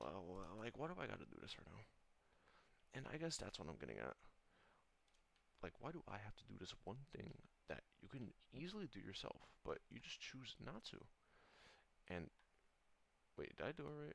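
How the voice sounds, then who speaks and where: A man's mumbling whisper with vocal fry, fairly quick in pace but broken by long, frequent pauses. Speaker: gaming vlogger. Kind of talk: casual rant. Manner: whispering; fast, mumbling. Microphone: poor audio.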